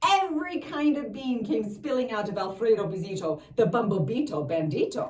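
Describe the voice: What you hear is plain reading aloud.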